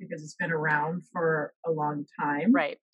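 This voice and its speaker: The voice comes across as somewhat breathy. Its pace is fairly slow. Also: woman. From the Bahamas. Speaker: professor and researcher. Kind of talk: casual interview chat.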